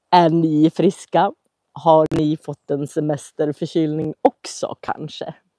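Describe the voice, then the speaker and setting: A woman's very deep, low voice, very slow, with a dark, mellow tone and monotone, flat intonation. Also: dry, close sound with no echo. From Sweden, Köping. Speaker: Swedish language teacher. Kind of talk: live language-learning stream. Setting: outdoors at summer cottage, livestream. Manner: slow, clear.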